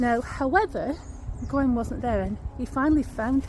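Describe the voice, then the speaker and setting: A woman speaks with a Lancashire accent. Her pace is moderate. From Lancashire, northern England. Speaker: paranormal history vlogger. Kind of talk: walking vlog storytelling. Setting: outdoors in woods. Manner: conversational.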